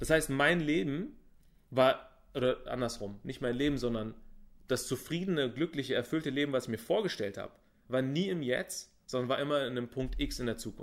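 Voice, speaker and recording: With a fairly high pitch and ordinary pitch variation, this man keeps a moderate pace in an ordinary speaking voice. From Berlin, Germany. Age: 30s. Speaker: business coach. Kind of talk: interview.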